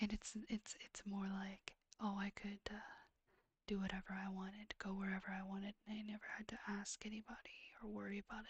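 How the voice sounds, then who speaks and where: The speaker is soft-spoken, whispering throughout. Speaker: ASMR streamer. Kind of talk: ASMR reading of questions. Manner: whispered, soft-spoken.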